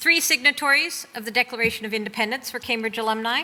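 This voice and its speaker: A woman with an American accent and a fairly high pitch, over noticeable background noise. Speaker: university leader. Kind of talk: speech.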